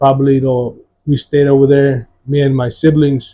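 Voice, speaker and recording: Somewhat breathy, a man speaks at a fairly high pitch. His tone is dark and mellow. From Mexico, moved to San Antonio west side at 11. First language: Spanish. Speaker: former gang member, church testimony guest. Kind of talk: testimony interview. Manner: halting, many fillers and repeats.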